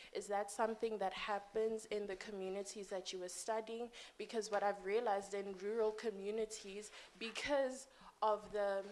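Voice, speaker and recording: Over noticeable background noise, a woman speaks in a monotone, flat intonation at a moderate pace. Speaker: audience member asking a question. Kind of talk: conference Q&A comment. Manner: soft-spoken.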